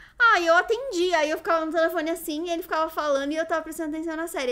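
A woman talks at a very fast pace in a raised, projected voice. Her pitch is extremely high. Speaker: youtuber. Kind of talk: casual chat. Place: home room. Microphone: studio mic.

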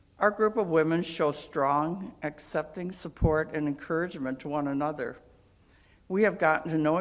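A woman with a very deep, low pitch talks at a moderate pace, her pitch varying in an ordinary way. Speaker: church member. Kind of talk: reading aloud a personal letter. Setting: church. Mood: warm, appreciative. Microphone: podium.

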